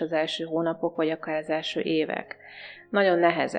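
Music plays in the background. A woman with a fairly low pitch speaks at a fairly quick pace. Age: 40s. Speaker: naturopath. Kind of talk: radio interview.

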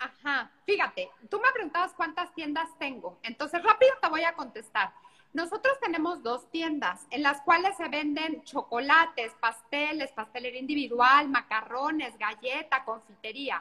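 A raised, projected voice with a bright, sharp tone moves at a fairly slow pace with lively intonation and hardly any pauses. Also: woman, high pitch for a woman. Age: 40s. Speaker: pastry chef and TV cook. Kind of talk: casual cooking demonstration chat. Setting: video call from a beach house.

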